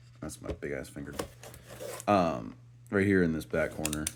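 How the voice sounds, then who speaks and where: A man speaks with lively intonation while noticeable noise fills the background. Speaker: toy reviewer. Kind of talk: unboxing review. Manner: casual, filler-heavy.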